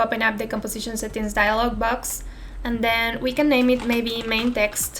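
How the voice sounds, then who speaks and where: Over background music, a woman with a Spanish accent speaks at a moderate pace in a fairly high voice. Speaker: software tutorial creator. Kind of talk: tutorial. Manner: unscripted, somewhat careful non-native speech.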